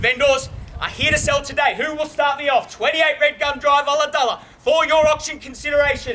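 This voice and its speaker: A raised, projected voice with a confident tone moves at a fairly quick pace. Intonation stays fairly even over noticeable background noise. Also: man, extremely high pitch for a man. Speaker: auctioneer. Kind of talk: auction bidding call, calling for opening bids. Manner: confident, witty, projecting to a crowd.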